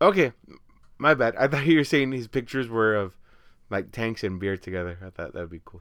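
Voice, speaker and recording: In a very clean recording with a silent background, a man speaks at a moderate pace and medium pitch with lively intonation. He takes long, frequent pauses. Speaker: podcast co-host. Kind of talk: casual chat. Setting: home studio.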